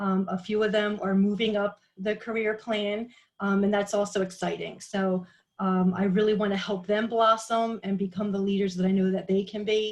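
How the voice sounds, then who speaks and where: At a moderate pace, the speaker uses an American accent, a somewhat breathy voice and monotone, flat intonation. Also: woman, medium pitch for a woman. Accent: Philly accent, comes out when talking a while. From Philadelphia, Pennsylvania. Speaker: direct sales team leader. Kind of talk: group video call introduction. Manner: hesitant, many fillers.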